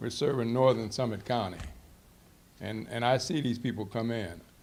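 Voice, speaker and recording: A speaker with an American accent is heard with audible room echo. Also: man. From northeast Ohio. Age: 70s. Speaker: community center volunteer for seniors. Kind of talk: public meeting testimony. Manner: halting, repetitive.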